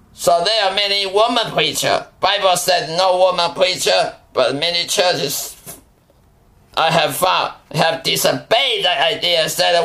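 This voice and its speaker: A man speaks in a raised, projected voice, high-pitched, at a fairly slow pace with fairly even intonation. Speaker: preacher. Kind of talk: sermon. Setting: recorded podcast, Taiwan. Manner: fervent, admonishing, warning tone; halting, non-native phrasing.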